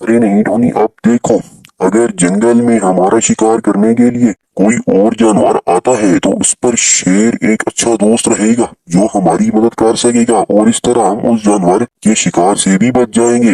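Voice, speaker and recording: Using a cartoonish character voice, a man speaks at medium pitch. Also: moderate pace. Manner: earnest, advising.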